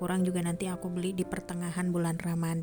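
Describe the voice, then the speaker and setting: A soft-spoken woman talks at a medium pitch. Music plays in the background. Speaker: housewife vlogger. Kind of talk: vlog voice-over narration.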